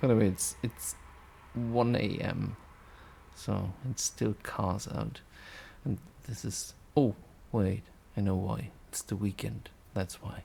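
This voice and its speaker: In a German accent, a man with a dark, mellow, fairly low voice and vocal fry speaks very slowly with ordinary pitch variation and long, frequent pauses. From Germany. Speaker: youtuber demonstrating audio software. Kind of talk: casual tutorial. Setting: home recording at night. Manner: hushed, quiet speaking; rambling with fillers.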